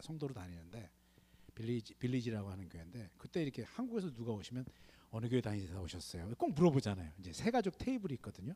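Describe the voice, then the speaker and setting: Talking at a very fast pace, a man with a dark, mellow tone swings very widely in pitch. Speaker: missionary. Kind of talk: sermon. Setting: church. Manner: animated.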